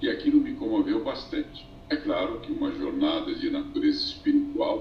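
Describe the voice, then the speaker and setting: A man with an extremely high pitch talks at a moderate pace in a monotone, flat delivery, amid noticeable background noise and audible room echo. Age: 70s. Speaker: buddhist ascetic. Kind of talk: interview. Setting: live stream via phone. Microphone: phone.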